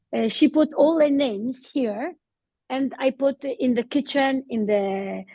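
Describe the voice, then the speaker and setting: A dark, mellow tone at a fairly slow pace, with a non-native accent, ordinary pitch variation and a dry, close sound with no echo. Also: woman, high pitch for a woman. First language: not English. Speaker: adult ESOL learner. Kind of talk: online conference interview. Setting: video call. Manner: halting.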